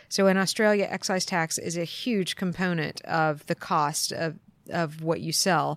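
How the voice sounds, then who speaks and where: Fairly low in pitch, a woman speaks slowly with an American accent and an unremarkable speaking voice. Her intonation stays fairly even, and the recording is very clean with a silent background. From US East Coast. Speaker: accountant. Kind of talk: interview. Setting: conference.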